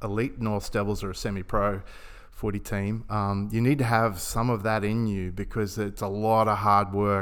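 A man with an Australian accent, medium-pitched, at a moderate pace. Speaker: podcast host and club chaplain. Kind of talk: casual interview.

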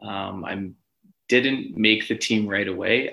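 A man with a Canadian accent, fairly low in pitch, bright and sharp in tone, at a fairly slow pace. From Edmonton, western Canada. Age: 20s. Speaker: professional soccer goalkeeper. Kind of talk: casual interview.

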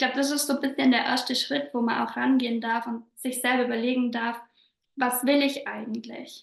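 A woman speaks in a high pitch at a moderate pace. Her intonation is monotone and flat. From southern Bavaria. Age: 20s. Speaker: business coach. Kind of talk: podcast interview.

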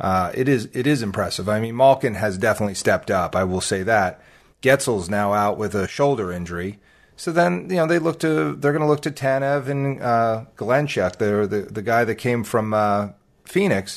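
A man speaks in an ordinary speaking voice at medium pitch and a moderate pace. His intonation is lively, and the background is quiet. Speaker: hockey podcast co-host. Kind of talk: casual chat.

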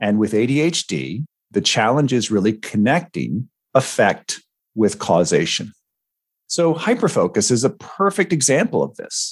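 A man speaks at a moderate pace in a medium pitch with vocal fry. His pitch swings very widely. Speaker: podcast co-host and ADHD coach. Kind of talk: podcast discussion.

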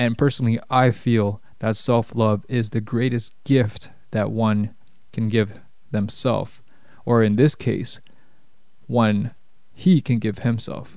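Speaking with a Toronto accent, a man talks at a very slow pace. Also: medium pitch for a man. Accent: Canadian English, Toronto. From Canada, Toronto. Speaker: podcast host and life coach. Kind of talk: solo podcast monologue. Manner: casual, with many fillers.

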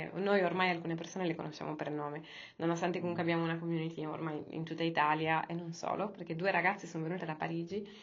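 Audible room echo surrounds a woman at a fairly low pitch. She talks very fast in a monotone, flat way. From Sardinia, Cagliari. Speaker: yoga teacher and startup founder. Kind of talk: interview.

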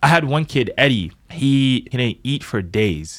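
A man with a plain, everyday voice at a medium pitch, fairly slow in pace, with lively intonation. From US, Boston inner city. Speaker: dancer and choreographer. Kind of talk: casual chat. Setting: studio.

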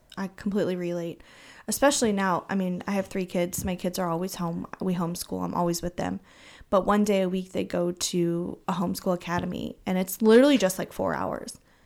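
A woman talks at a fairly quick pace in a medium pitch, with an unremarkable speaking voice. The recording is very clean, with a silent background. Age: 30s. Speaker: podcast co-host, homeschooling mother. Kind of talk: casual chat.

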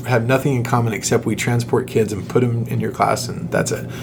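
A man at a very fast pace, with noticeable background noise and audible room echo. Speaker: children's ministry podcast host. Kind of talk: casual chat.

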